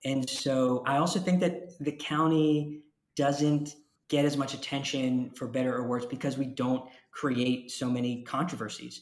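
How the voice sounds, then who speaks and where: A man with a normal speaking voice and an American accent speaks at a medium pitch. His pace is fairly slow and his intonation fairly even. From Jacksonville, Florida. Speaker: county commissioner. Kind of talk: interview.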